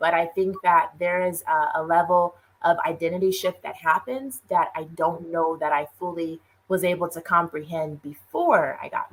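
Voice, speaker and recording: The speaker has an unremarkable speaking voice and ordinary pitch variation. The pace is moderate, with big swings in loudness. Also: woman, fairly low pitch for a woman. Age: 30s. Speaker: minister and entrepreneur. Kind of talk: casual interview chat.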